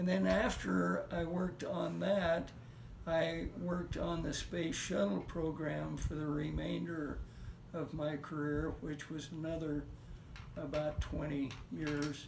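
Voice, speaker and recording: Someone with an American accent speaks at a very slow pace. There is noticeable background noise and audible room echo. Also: man, fairly high pitch for a man, ordinary pitch variation. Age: 80s+. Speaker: retired rocket engineer. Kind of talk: family interview, recollection. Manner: halting, many fillers.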